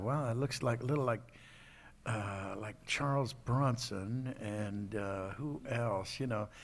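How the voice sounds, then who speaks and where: With an American accent, a man speaks in a normal speaking voice at medium pitch, fairly slowly and with ordinary pitch variation, on a very clean recording with a silent background. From United States. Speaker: voice actor. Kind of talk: interview answer. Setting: convention stage.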